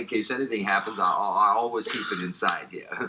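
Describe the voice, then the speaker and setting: Noticeable background noise fills the recording. A man speaks with an American accent. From US, New Orleans. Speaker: magician. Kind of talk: magic performance patter. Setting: TV studio. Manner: fast; animated, joking.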